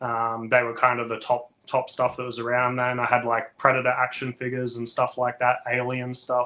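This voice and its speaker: An Australian accent from a man at medium pitch, moderate pace, monotone and flat, with hardly any pauses. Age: 30s. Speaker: toy collector and toy photographer. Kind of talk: casual interview chat. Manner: hesitant, many fillers.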